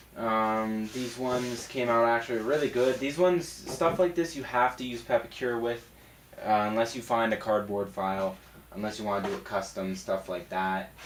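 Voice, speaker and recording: Over noticeable background noise, a man talks at a moderate pace with medium pitch and ordinary pitch variation. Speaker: cosplayer and prop maker. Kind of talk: casual talk to camera.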